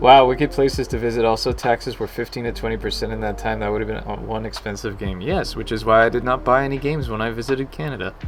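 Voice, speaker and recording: Over noticeable background noise, a soft-spoken man with an American accent talks very fast with hardly any pauses. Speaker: game developer streaming. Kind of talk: casual live stream chat. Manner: soft, low volume.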